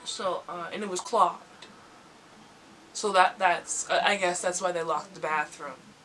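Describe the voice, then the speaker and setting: A woman's medium-pitched voice with fairly even intonation and long, frequent pauses, over noticeable background noise. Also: moderate pace. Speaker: YouTuber. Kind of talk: casual talk to camera. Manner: casual, humorous storytelling.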